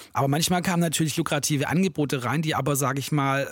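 A man talks very fast in a somewhat breathy voice. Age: 40s. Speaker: hip-hop producer and DJ. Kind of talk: interview. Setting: home studio.

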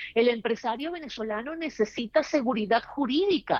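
Her pitch varies in an ordinary way as a woman talks at a medium speed. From Venezuela. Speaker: political analyst. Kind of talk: panel discussion.

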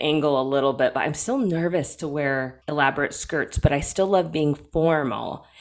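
A woman's voice comes through very deep and low, with ordinary pitch variation. The recording is very clean, and the background is silent. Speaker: podcast co-host, oboist. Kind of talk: casual chat. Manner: put-on formal radio style.

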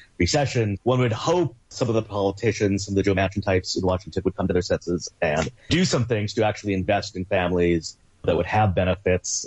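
At a very fast pace, a man with a fairly low pitch speaks in a somewhat breathy voice with ordinary pitch variation. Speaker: policy researcher. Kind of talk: interview.

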